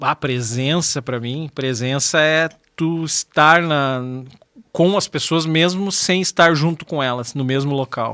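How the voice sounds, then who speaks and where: In a dry, close recording with no echo, a speaker with a bright, sharp tone talks very slowly with ordinary pitch variation. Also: man, fairly high pitch for a man. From southern Brazil, Rio Grande do Sul. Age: 40s. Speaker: radio host. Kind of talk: casual interview chat.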